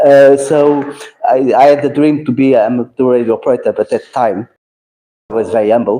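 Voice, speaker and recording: With a Portuguese accent, a man talks at a very fast pace in a dark, mellow tone at medium pitch. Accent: Portuguese, non-native English. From Portugal. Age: 60s. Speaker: amateur radio operator, retired air force. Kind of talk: event talk.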